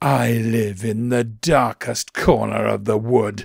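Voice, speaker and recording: At a fairly slow pace, a man of medium pitch hisses and growls. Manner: hissed, sly.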